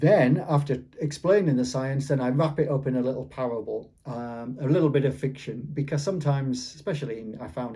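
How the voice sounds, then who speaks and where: In a dark, mellow tone, a man speaks at a medium pitch with a somewhat breathy voice. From Yorkshire, England. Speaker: author. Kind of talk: interview. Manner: halting, with repetitions.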